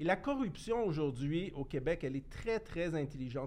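A man in a plain, everyday voice, fairly high in pitch with ordinary pitch variation, at a moderate pace. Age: 50s. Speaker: former municipal politician. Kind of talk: casual chat.

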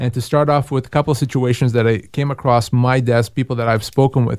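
The man's pitch is medium. He talks very fast. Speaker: employment lawyer. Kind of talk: radio call-in advice show. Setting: radio studio.

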